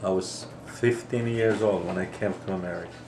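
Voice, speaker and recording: A man talks at a medium pitch with fairly even intonation. Audible room echo and noticeable background noise fill the recording. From Greece. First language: Greek. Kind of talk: personal testimony.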